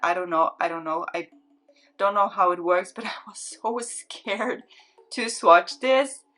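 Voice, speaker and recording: A woman with a non-native accent, music playing in the background. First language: not English. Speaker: beauty YouTuber. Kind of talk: makeup swatch tutorial. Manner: casual, repetitive, filler-heavy; enthusiastic.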